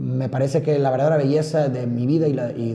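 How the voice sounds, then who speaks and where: A man's voice carries fairly even intonation at medium pitch, with audible room echo around it. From Monterrey, Nuevo León, Mexico. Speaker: podcaster. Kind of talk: personal monologue. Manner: fast.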